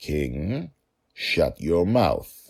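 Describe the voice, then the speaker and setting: Putting on a character voice, the man pitches it very deep and low. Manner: fierce, commanding.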